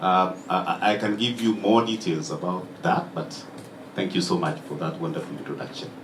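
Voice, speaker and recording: With lively intonation and a moderate pace, a man talks through audible room echo and noticeable background noise. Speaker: diplomat. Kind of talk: speech.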